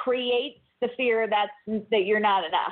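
A woman speaks at a fairly slow pace. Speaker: guest speaker on self-improvement. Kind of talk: interview. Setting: phone call.

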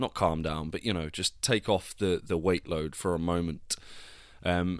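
On a very clean recording with a silent background, a man talks at a moderate pace with a very deep, low pitch and fairly even intonation. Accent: slight Devon. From Devon, England. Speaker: actor and podcast host. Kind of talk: casual solo vlog-style monologue.

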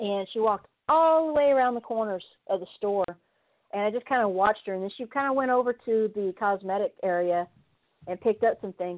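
With a Kentucky accent, a woman speaks at a fairly high pitch with ordinary pitch variation. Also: fairly quick pace. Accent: Kentucky Southern. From San Diego, California. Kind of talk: casual interview. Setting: phone call.

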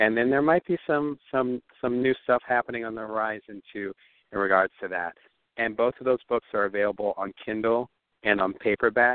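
A man speaks with an American accent at a moderate pace, in an ordinary speaking voice. His pitch is medium, with ordinary pitch variation. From US Northeast (New Jersey). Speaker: entrepreneur and author. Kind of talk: interview.

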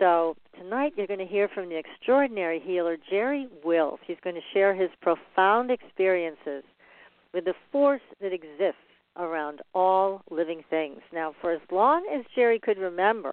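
Speaking at a moderate pace, a woman uses a plain, everyday voice. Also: medium pitch for a woman. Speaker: radio host and paranormal researcher. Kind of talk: interview.

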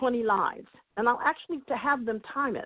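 Her intonation lively, a woman speaks at a moderate pace in a high pitch. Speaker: motivational speaker and life coach. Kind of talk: interview. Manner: high energy.

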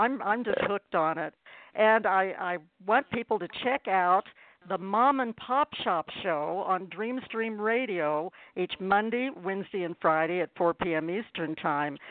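Speaking fairly slowly in an unremarkable speaking voice, the speaker uses lively intonation. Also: woman, medium pitch for a woman. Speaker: radio show host. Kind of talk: hosted interview show.

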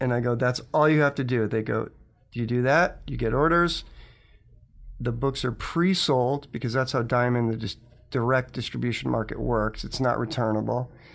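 A man with a normal speaking voice, medium pitch and a moderate pace. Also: ordinary pitch variation. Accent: American. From Connecticut. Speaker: comics publisher and animator. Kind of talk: interview.

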